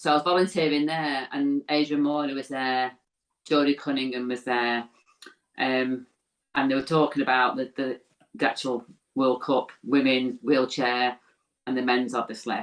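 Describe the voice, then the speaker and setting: A woman's very deep, low voice, fairly even in intonation, at a moderate pace with long, frequent pauses. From northern England, Warrington. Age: 60s. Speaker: former women's rugby league player. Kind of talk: interview conversation.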